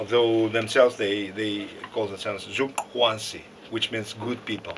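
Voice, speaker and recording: Noticeable background noise and audible room echo surround a man of medium pitch who talks at a moderate pace with fairly even intonation. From Russia. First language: Russian. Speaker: lecturer. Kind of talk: lecture. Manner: halting.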